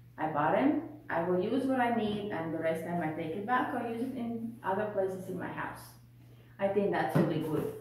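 The voice moves at a moderate pace amid light background noise and audible room echo. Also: woman. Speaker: home haul vlogger. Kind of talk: casual vlog chat. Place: home room. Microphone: camera far.

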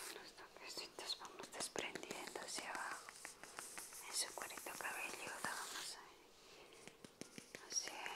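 Whispering in a gentle tone, a woman moves at a fairly slow pace with long, frequent pauses and big swings in loudness. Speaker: ASMR creator, energy cleansing healer. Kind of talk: ASMR relaxation, soft spoken guidance. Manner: soft-spoken, gentle, slow. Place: home room.

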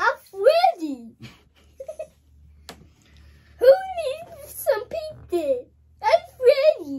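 Using a put-on character voice, a woman speaks very slowly at an extremely high pitch with very wide pitch swings and long, frequent pauses.

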